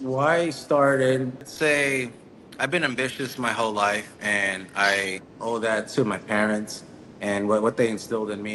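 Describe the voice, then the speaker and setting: Noticeable background noise sits behind speech that has ordinary pitch variation. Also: man. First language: Spanish. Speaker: entrepreneur. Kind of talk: interview. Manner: halting.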